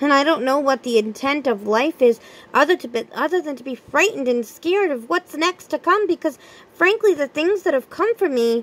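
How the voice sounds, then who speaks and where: In a put-on character voice, a woman speaks high and at a fairly quick pace. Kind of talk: dramatic monologue. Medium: read story. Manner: soft, fearful.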